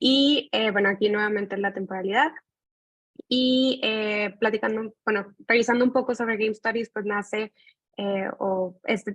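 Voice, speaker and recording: With a Mexican accent, a woman talks at a moderate pace in a medium-pitched voice with fairly even intonation, the sound dry and close with no echo. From Mexico. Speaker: graduate student. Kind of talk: thesis presentation.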